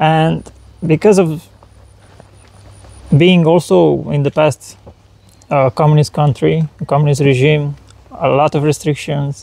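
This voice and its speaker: A man with a Romanian accent, fairly high pitch, a fairly slow pace, long, frequent pauses, very even loudness and fairly even intonation, in a dry, close sound with no echo. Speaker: spiritual channeler. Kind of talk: interview. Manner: halting.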